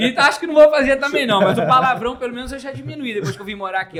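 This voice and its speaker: At a very fast pace, a man with a slight Rio de Janeiro interior accent speaks in a high pitch with very wide pitch swings over noticeable background noise. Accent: mild Rio de Janeiro interior. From interior of Rio de Janeiro state, Brazil. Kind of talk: casual conversation.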